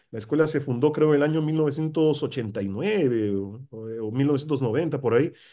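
A man speaks with a fairly high pitch and a dark, mellow tone. His pitch varies in an ordinary way against a quiet background. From Peru, Lima; Peru. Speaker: political scientist and professor; professor. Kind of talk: interview. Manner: halting, with many fillers. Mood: relaxed, reminiscing. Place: home room. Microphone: video call.

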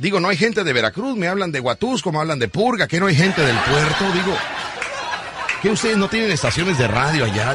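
A man rushes through his words at a very fast pace amid loud background noise, the sound dry with no echo. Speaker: radio host. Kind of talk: morning radio show banter. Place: studio.

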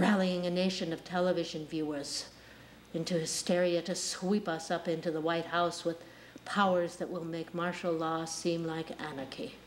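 Light background noise accompanies a woman's fairly low voice, monotone and flat, at a moderate pace. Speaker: actor performing monologue. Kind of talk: dramatic acted monologue. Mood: intense, menacing, bitter. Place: studio.

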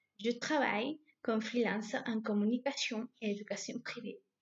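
Against a quiet background, a woman with a fairly high, somewhat breathy voice speaks at a moderate pace. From southern Spain, Granada; southern Spain. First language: Spanish. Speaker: language teacher. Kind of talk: self-introduction. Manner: halting. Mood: friendly, smiling. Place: home room. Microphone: webcam.

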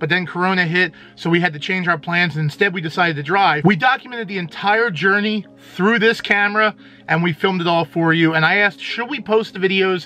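A man talks at a very fast pace in a high pitch. His pitch variation is ordinary. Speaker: channel host. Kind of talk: casual vlog chat. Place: home room. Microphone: phone near.

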